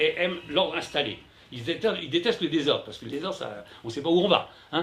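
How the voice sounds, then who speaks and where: This is a man with a fairly high pitch. His intonation is lively. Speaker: journalist and essayist giving a talk. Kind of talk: conference lecture. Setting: conference room with live audience. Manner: loud; hesitant, many fillers and repetitions.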